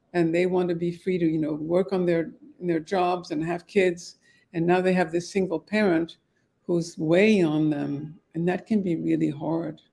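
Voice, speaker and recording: At a moderate pace, a woman speaks in a monotone with flat intonation, her fairly low pitch carrying a dark, mellow tone. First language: French. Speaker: divorce mediator. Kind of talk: podcast interview.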